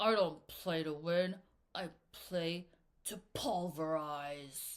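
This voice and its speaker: A woman growls in a gravelly, put-on character voice, fairly low in pitch, at a very slow pace. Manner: growling, menacing.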